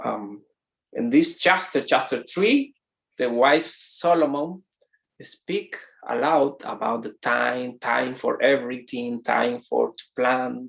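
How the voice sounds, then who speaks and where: With a Spanish accent, a man talks very slowly, his loudness swinging widely. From Dominican Republic. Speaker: pastor. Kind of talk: sermon. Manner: halting.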